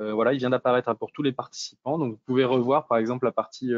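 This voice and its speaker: Intonation stays monotone and flat as the man speaks. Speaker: webinar moderator. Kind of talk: webinar moderation, casual professional. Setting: video call webinar.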